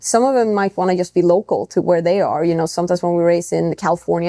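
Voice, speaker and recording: A woman with a non-native accent talks at a very fast pace. Her pitch is fairly low and her intonation fairly even. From Europe. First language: not English. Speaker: racing driver. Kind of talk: podcast interview. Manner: casual, with frequent fillers and restarts.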